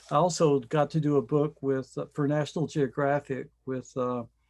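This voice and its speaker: Over a quiet background, a man with a fairly high pitch and a slight Southern US accent speaks at a moderate pace. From US South, Johnson City, Tennessee. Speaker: scientific illustrator. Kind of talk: online panel discussion.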